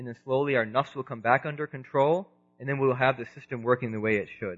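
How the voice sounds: Ordinary pitch variation marks a man's medium-pitched voice. His tone is fairly bright and his pace fairly quick.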